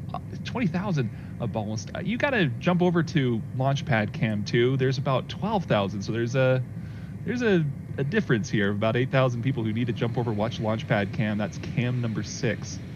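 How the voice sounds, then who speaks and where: A man with an American accent talks at a fairly quick pace and medium pitch with lively intonation, with audible room echo around him. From Colorado, US. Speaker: livestream host. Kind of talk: casual livestream chat.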